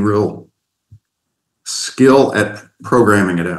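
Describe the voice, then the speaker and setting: A man's fairly low voice with an American accent. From US Midwest (southeastern Ohio, Appalachia). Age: 60s. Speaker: mentor, retired accountant. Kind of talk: casual chat.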